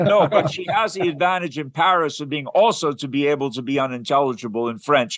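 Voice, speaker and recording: A man with a fairly high pitch and lively intonation at a fairly quick pace with hardly any pauses, over noticeable background noise. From Quebec, Canada. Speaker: philosophy organization host. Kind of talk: casual chat.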